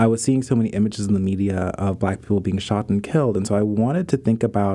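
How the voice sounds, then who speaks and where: A man with an American accent, a dark, mellow tone and a fairly quick pace. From US, Pittsburgh. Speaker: photographer and artist. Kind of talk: interview conversation.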